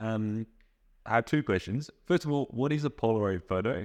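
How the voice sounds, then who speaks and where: Speaking with an Australian accent at a moderate pace, a man with a fairly low pitch makes very wide pitch swings, recorded with a dry, close sound with no echo against a quiet background. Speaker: interviewer.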